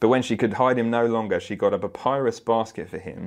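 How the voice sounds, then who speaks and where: In a normal speaking voice, a man talks at a fairly quick pace and medium pitch against a quiet background. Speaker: preacher. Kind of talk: sermon with scripture reading; steady, measured bible reading aloud, narrating the story plainly. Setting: church with congregation. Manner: earnest, warm, conversational.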